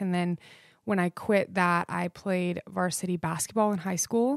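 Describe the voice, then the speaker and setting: At a fairly slow pace, a woman speaks at a medium pitch with fairly even intonation in a normal speaking voice, recorded very cleanly against a silent background with a dry, close sound and no echo. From Idaho. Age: 20s. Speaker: podcast host. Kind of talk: casual monologue.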